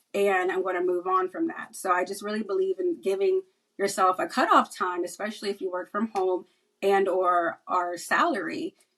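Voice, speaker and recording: Her pitch sits in the medium range, and the woman's voice shows ordinary pitch variation. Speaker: cybersecurity professional. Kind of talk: podcast interview. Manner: fast; casual.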